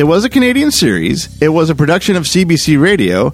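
Over music in the background, a man with a fairly high voice speaks at a moderate pace with very wide pitch swings. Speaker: podcast host. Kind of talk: podcast intro and outro.

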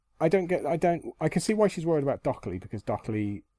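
A man with a British accent talks at a fairly quick pace, his dark, mellow voice making very wide pitch swings. The sound is dry and close with no echo, set against a quiet background. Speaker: podcast co-host. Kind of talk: casual chat.

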